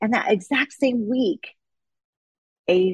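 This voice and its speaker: Somewhat breathy, with lively intonation, a woman speaks in a dry, close sound with no echo. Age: 40s. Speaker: fitness coach and gym owner. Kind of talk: casual interview chat.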